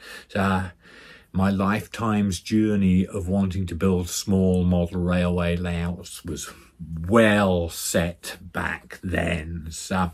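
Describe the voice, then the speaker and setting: Against a silent background in a very clean recording, a man with a very deep, low pitch speaks at a very slow pace in a flat monotone. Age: 60s. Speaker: model railway vlogger. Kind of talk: casual vlog monologue. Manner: halting.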